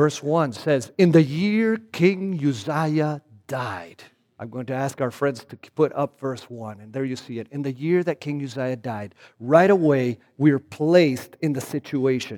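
With a Spanish accent and a dark, mellow tone, a man speaks at a fairly slow pace in a fairly high pitch, his intonation lively and his loudness swinging widely. The recording is very clean, with a silent background. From Argentina. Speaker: guest preacher. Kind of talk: sermon. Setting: church.

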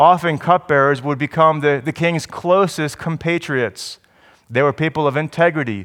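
On a very clean recording with a silent background, a man speaks in a New Jersey accent. His pitch is fairly high and his pace moderate. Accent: New Jersey American. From US Northeast, New Jersey. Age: 40s. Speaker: pastor. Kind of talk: sermon.

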